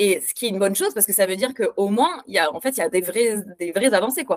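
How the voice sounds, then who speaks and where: A woman at medium pitch races along at a very fast pace with lively intonation, the sound dry and close with no echo. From France. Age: 30s. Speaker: instagram activist. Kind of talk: interview.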